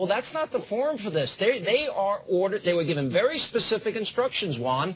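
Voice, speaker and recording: With noticeable background noise behind him, a high-pitched man speaks with very wide swings in pitch. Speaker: TV host. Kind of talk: TV debate moderating.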